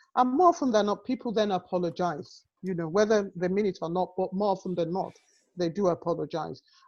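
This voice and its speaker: A woman speaks with an African accent. Her pitch is medium. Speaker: health and social care professional. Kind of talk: webinar panel discussion.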